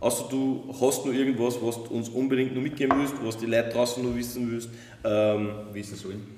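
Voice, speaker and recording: A man with a medium pitch speaks at a fairly quick pace in a monotone, flat intonation. Noticeable background noise and audible room echo surround his voice. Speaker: wine podcast host. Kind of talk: casual chat. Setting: winery sales room.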